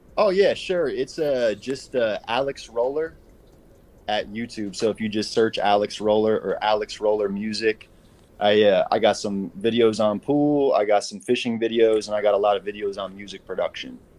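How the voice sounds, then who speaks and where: At a moderate pace and medium pitch, a man talks in a plain, everyday voice with ordinary pitch variation. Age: 30s. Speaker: caller seeking dating and life advice. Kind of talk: casual chat.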